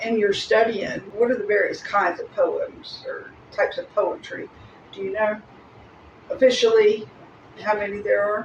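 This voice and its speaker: Against noticeable background noise, a woman speaks at a moderate pace with long, frequent pauses and big swings in loudness. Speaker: podcast host. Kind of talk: podcast interview questions.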